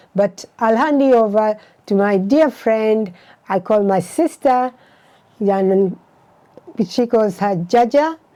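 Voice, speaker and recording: A dark, mellow tone at very even loudness, very slow, with long, frequent pauses. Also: woman, fairly high pitch for a woman, ordinary pitch variation. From Uganda. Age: 70s. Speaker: retired doctor. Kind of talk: casual chat.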